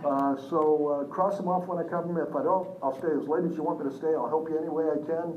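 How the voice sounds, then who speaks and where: With audible room echo and noticeable background noise, a man speaks in an energetic tone at a fairly high pitch and a fairly quick pace. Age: 60s. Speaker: business seminar trainer. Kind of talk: live seminar presentation. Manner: energetic, engaging the audience.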